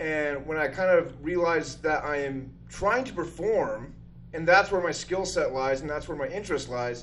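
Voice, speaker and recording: With an American accent and an animated tone, a man speaks at a moderate pace and fairly high pitch with ordinary pitch variation, amid audible room echo. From northern Utah. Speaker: comedian and drummer. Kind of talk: casual chat. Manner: loud.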